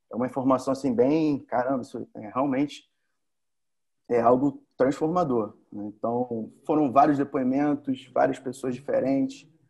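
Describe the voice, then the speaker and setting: This man has an unremarkable speaking voice, medium in pitch, and talks at a fairly slow pace. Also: fairly even intonation, big swings in loudness. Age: 30s. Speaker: electrical engineer, former training participant. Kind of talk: casual interview, testimony. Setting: remote recording during quarantine.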